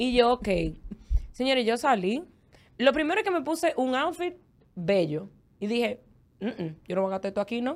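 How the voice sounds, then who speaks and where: A woman's high voice at a moderate pace, with very wide pitch swings and long, frequent pauses. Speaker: former podcast co-host. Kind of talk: casual chat.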